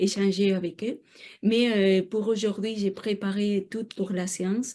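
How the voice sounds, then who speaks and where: A woman with a non-native accent speaks very slowly at a medium pitch, her tone dark and mellow. Her intonation stays monotone and flat over a quiet background. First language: not French (speaking French). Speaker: researcher. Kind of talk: lecture. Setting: seminar room with audience. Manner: halting, many hesitations.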